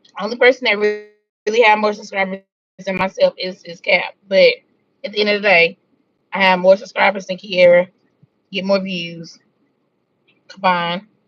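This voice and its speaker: A woman at medium pitch and a moderate pace, with fairly even intonation, big swings in loudness, long, frequent pauses, and a dry, close sound with no echo. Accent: Southern US. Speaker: drama commentary youtuber. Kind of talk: casual live-stream chat.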